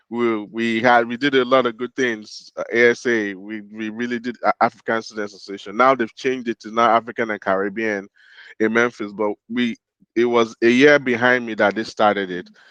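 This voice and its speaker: A man with a Nigerian accent, medium pitch and monotone, flat intonation, at a fairly quick pace, the sound dry and close with no echo against a quiet background. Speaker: podcast co-host. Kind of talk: casual chat.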